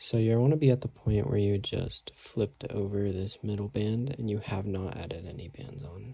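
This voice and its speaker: Soft-spoken and somewhat breathy, a man talks at a moderate pace with hardly any pauses, in a dark, mellow tone at a fairly low pitch, with ordinary pitch variation and big swings in loudness. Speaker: craft tutorial maker. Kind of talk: tutorial. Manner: quiet, soft-spoken; casual.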